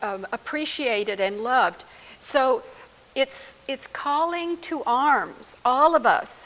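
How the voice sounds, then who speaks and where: With noticeable background noise, a woman speaks very slowly at a high pitch, her intonation lively. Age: 80s+. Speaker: psychologist or trauma therapist. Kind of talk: interview.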